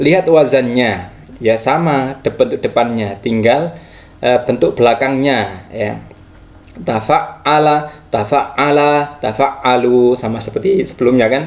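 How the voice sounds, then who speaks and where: A man talks with ordinary pitch variation amid noticeable background noise. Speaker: Arabic grammar teacher. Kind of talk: tutorial. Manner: halting, with fillers.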